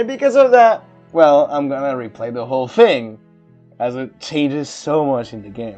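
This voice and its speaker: Music runs behind the speech, which moves along at a moderate pace. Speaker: let's play gamer. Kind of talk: casual gameplay commentary.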